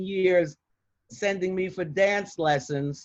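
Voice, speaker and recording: With music in the background, a woman speaks very slowly in a New York accent, her pitch medium and her variation ordinary. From Bronx, New York. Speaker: retired criminal defense attorney. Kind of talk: interview answer.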